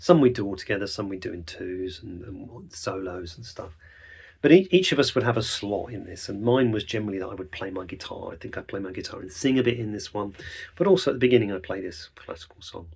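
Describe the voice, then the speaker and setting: A man's fairly low, somewhat breathy voice at a very fast pace, with ordinary pitch variation and big swings in loudness. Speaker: songwriter podcaster. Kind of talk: reflective podcast monologue.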